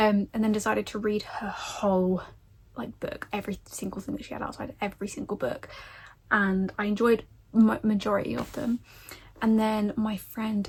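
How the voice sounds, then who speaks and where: A woman with an English accent speaks at a fairly high pitch. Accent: common English. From England. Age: 20s. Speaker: book vlogger. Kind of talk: casual chat.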